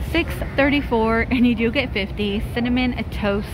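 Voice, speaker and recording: Music plays behind a woman whose voice sounds dry, with no echo. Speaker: shopping vlogger. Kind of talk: casual vlog chat. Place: shop. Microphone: phone near.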